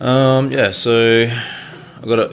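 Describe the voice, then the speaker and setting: An Australian accent over noticeable background noise. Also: man. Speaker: hobbyist video maker. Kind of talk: unboxing video. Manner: halting, many fillers.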